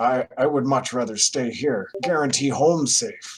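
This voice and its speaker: A man puts on a character voice at medium pitch, keeping a moderate pace and very even loudness. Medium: actual play.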